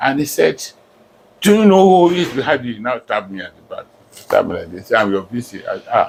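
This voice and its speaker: A man speaks with a Nigerian accent at a fairly quick pace. His loudness swings widely. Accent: Nigerian (Yoruba) English. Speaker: professor. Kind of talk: life story interview.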